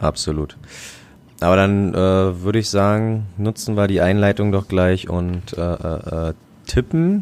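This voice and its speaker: A man's fairly low voice, fairly even in intonation, at a very slow pace. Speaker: football fan podcast co-host. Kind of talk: casual chat.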